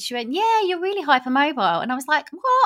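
A woman with very wide pitch swings, on a very clean recording with a silent background. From Romford, Essex (east London area), England. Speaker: journalist. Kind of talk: casual interview chat.

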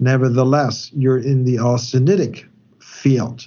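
Here a man speaks at a medium pitch. His voice is somewhat breathy. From Germany. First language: German. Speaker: metallurgist consultant. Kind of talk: technical interview. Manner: halting, many fillers.

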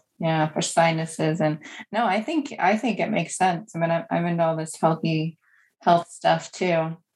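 A woman's fairly low-pitched voice, an ordinary speaking voice, at a moderate pace with ordinary pitch variation. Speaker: podcast host. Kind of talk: casual interview chat. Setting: remote call.

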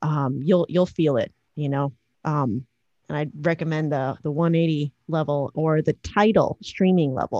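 With an American accent, a woman speaks at a fairly slow pace in a very deep, low pitch and a dark, mellow tone, using ordinary pitch variation, the sound dry and close with no echo. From Chicago. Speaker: electronic musician and producer. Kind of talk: casual chat.

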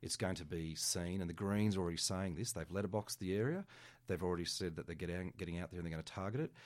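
A man with an Australian accent talks at a very fast pace in a very deep, low pitch with ordinary pitch variation. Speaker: political candidate. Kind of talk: radio interview. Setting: studio.

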